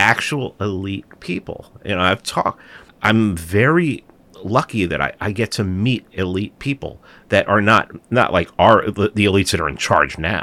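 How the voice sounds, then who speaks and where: A man with a New York accent speaks at a moderate pace, his fairly low pitch carrying a bright, sharp tone and lively intonation. The recording is very clean with a silent background and a dry, close sound with no echo. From New York City, the Bronx. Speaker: podcast host and documentary producer. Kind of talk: political interview.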